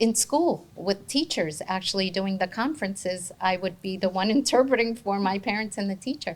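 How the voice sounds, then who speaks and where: A woman with a Spanish accent speaks at a medium pitch and moderate pace, somewhat breathy, with lively intonation and hardly any pauses. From New Jersey (Bloomfield), born in Argentina. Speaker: interpreting company founder. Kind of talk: interview.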